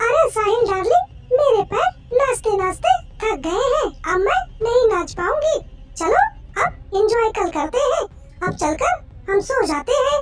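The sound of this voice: Over clear background noise, a woman uses a squeaky, cartoonish character voice at an extremely high pitch, with lively intonation and a moderate pace.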